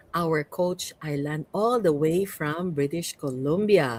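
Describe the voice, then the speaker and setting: A woman with a Cebuano accent at a very slow pace, on a very clean recording with a silent background. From Cebu, Philippines. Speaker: podcast host and coach. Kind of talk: podcast interview.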